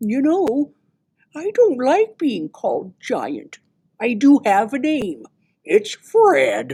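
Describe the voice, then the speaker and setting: The voice is a put-on character voice. Its pace is very slow. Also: woman, high pitch for a woman. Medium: read story.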